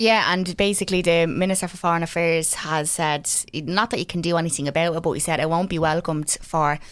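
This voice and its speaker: A woman with an Irish accent talks at a very fast pace, with hardly any pauses. Her pitch sits fairly low, her intonation fairly even, and the recording is very clean over a silent background. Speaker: podcast co-host. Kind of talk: casual chat.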